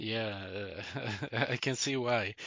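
With a Swedish accent, a man speaks at a medium pitch and a very slow pace, his intonation fairly even. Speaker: podcast host. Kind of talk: casual interview.

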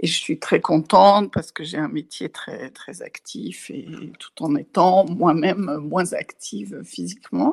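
A woman speaks very slowly with big swings in loudness, in a dry, close sound with no echo. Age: 60s. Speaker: testimony contributor, audiovisual worker. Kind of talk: testimony. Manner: halting.

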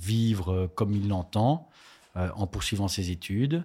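A man's fairly low, dark and mellow voice at a fairly slow pace, on a very clean recording with a silent background. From Belgium, Charleroi. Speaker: politician and lawyer. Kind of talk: interview.

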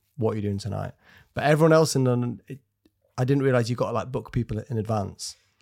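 Talking at a very fast pace, a man speaks with a Yorkshire accent at medium pitch and ordinary pitch variation. The recording is very clean, with a silent background. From Scarborough, Yorkshire, northern England. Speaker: comedian. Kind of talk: casual chat.

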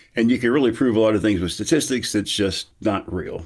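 A man talks in a plain, everyday voice with a fairly low pitch and ordinary pitch variation. The recording is very clean, with a silent background. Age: 60s. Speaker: philosophy professor. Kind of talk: casual interview.

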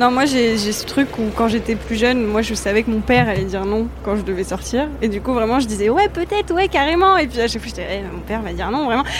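Against noticeable background noise, a woman talks at a very fast pace with hardly any pauses. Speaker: intern and magazine writer, guest. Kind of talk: casual chat. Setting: live Twitch stream.

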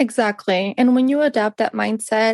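A woman with an unremarkable speaking voice talks at a moderate pace in a fairly high pitch. The sound is dry and close, with no echo. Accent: American. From Northern California, US. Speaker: guest, traveller. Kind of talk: casual interview chat.

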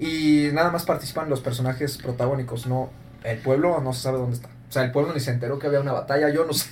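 Talking very fast, a man with a fairly high pitch is heard with audible room echo and noticeable background noise. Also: fairly even intonation. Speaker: podcast host, film critic. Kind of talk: casual film discussion. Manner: formal announcer-like delivery.

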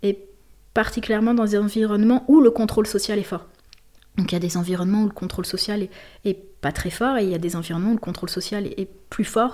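A woman talks at a very fast pace yet with long, frequent pauses. Her dark, mellow tone sits at a medium pitch with fairly even intonation. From southern France, Marseille. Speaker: gender researcher and feminist activist. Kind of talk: interview. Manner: hesitant, many fillers.

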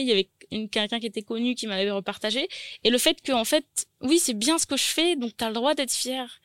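Here is a woman with an ordinary speaking voice, fairly high in pitch with ordinary pitch variation, moving at a fairly quick pace. The recording is very clean with a silent background, and the sound is dry and close with no echo. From New Caledonia, Nouméa. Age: 20s. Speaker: caterer and business owner. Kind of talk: interview. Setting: studio.

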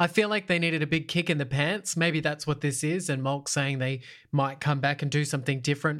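With an Australian accent, a man speaks at a fairly high pitch and fairly quick pace, his loudness very even and his intonation fairly even. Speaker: reality TV winner turned podcaster. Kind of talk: casual chat.

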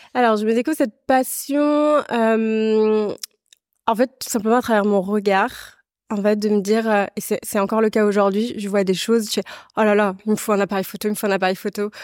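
In an unremarkable speaking voice, a woman talks at a moderate pace with fairly high pitch and fairly even intonation, the sound dry and close with no echo on a very clean recording with a silent background. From western France (La Rochelle, Vendée). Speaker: artistic director and entrepreneur. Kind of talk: casual interview.

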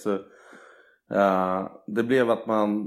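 A man's fairly low voice in a very clean recording over a silent background. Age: 20s. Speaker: athlete. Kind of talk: casual chat.

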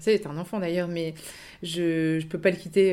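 A woman speaks in a fairly low pitch with fairly even intonation. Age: 30s. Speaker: second-hand clothing shop owner. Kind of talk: interview. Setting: radio studio. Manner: hesitant, many fillers.

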